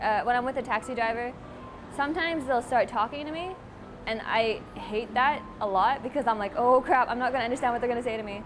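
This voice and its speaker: Over music in the background, a woman with a Canadian accent talks at a very fast pace in a high pitch with ordinary pitch variation. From Canada. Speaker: interviewee. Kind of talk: interview.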